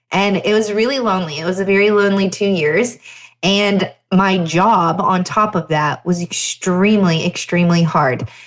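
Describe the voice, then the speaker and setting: With a slight Southern US accent, a woman talks at a fairly slow pace. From Pennsylvania. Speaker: chiropractor and podcast host. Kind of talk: solo podcast storytelling. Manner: conversational.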